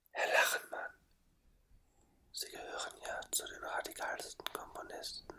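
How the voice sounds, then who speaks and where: Whispering at a very slow pace. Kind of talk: ASMR re-enactment of an interview, asking questions. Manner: whispered, very close.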